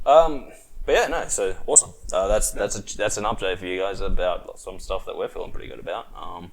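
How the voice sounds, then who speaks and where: Speech comes fairly quickly from a man. He talks with an Australian accent. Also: big swings in loudness. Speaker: podcast host. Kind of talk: casual chat. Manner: animated.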